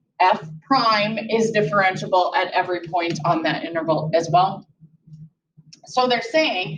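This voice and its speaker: A woman speaks at a fairly slow pace, her voice somewhat breathy. Audible room echo surrounds her. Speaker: math teacher. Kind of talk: lecture. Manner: animated.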